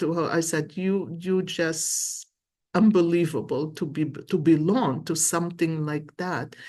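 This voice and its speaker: This woman has a fairly low pitch and a Lebanese accent. She talks at a fairly slow pace. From Lebanon. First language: Arabic. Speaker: tarot and coffee cup reader. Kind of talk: psychic reading monologue. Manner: animated.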